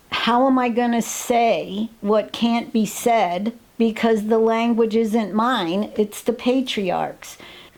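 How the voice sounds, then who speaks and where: A woman with an American accent and a fairly high pitch speaks at a very slow pace with hardly any pauses, very even loudness and monotone, flat intonation. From New York State. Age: 70s. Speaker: retired professor and artist. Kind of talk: personal interview testimony.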